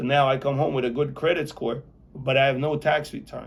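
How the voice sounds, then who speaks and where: This man's fairly high, somewhat breathy voice moves at a moderate pace with fairly even intonation. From Belarus, Soviet Union; immigrated to US at nine. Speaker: real estate developer, formerly incarcerated. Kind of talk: interview.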